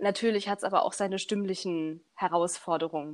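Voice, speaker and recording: Recorded very cleanly against a silent background, a woman with an unremarkable speaking voice talks at a moderate pace, at medium pitch, with ordinary pitch variation. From Saxony, Germany (Leipzig area). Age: 20s. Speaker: a cappella singer. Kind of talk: casual interview.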